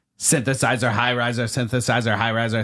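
A man puts on a robotic character voice at medium pitch. He rattles along at a very fast pace in a monotone, flat delivery. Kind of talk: synthesized.

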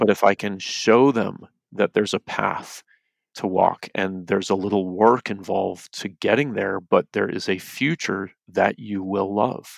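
A plain, everyday voice with fairly even intonation speaks at a fairly slow pace, recorded dry and close with no echo in a very clean recording with a silent background. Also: man, fairly low pitch for a man. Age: 40s. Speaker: foster parent and youth trainer. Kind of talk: podcast interview.

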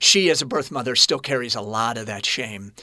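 A man speaks with an American accent at a moderate pace, his pitch medium and his tone bright and sharp. Pitch moves in an ordinary way, and the recording is very clean with a silent background. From US Midwest, Kansas City. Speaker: actor and producer. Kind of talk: interview testimony. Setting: studio.

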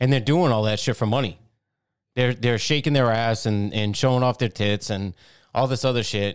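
In a very clean recording with a silent background, a man speaks at a medium pitch in a normal speaking voice with ordinary pitch variation. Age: 40s. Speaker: podcast co-host. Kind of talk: angry rant. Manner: sarcastic, jeering, chiming in.

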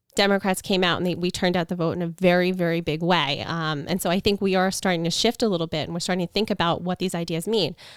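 Very fast and with hardly any pauses, a woman talks in an American accent with fairly even intonation. The recording is very clean, with a silent background. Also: fairly low pitch for a woman. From Long Island, New York. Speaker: congressional candidate. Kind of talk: interview. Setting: home podcast studio.

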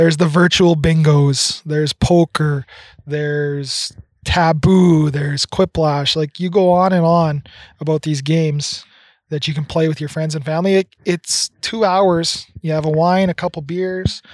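In a dry, close sound with no echo, a man with a Canadian accent and fairly high pitch uses an ordinary speaking voice at a fairly slow pace with fairly even intonation. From Red Deer, Alberta, Canada. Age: 30s. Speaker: podcast co-host. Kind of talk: casual chat. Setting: outdoors on a deck.

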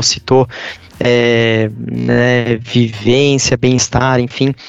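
A man's pitch varies in an ordinary way while noticeable background noise runs behind him. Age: 20s. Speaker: compensation coordinator. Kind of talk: interview.

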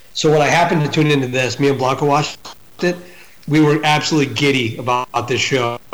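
A man speaks at a very fast pace in a fairly high voice, with fairly even intonation, very even loudness and noticeable background noise. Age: 40s. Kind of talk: casual chat.

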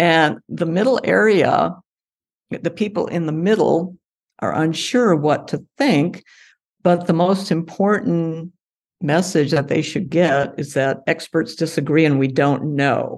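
In a plain, everyday voice with an American accent, a woman speaks at a fairly slow pace with ordinary pitch variation against a quiet background. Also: fairly low pitch for a woman. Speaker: climate scientist and author. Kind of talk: interview.

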